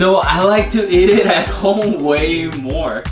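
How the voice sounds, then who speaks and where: A man's high-pitched voice over clear music in the background. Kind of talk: cooking tutorial. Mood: cheerful, laughing. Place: kitchen.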